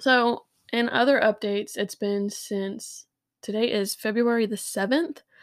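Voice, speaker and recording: Heard in a very clean recording with a silent background, a woman with an ordinary speaking voice talks at a fairly high pitch, a fairly slow pace and ordinary pitch variation. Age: 30s. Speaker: podcast co-host. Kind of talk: casual chat.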